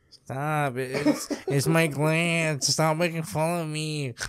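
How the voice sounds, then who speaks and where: A man puts on a whiny character voice, fairly high in pitch, with a whiny tone. He speaks at a very slow pace in a monotone, flat intonation. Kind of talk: put-on exaggerated voice. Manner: whiny, pleading.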